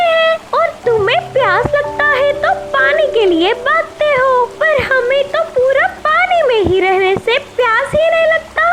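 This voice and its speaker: A woman's cartoonish character voice, extremely high in pitch and fairly slow, over clear music in the background. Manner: friendly.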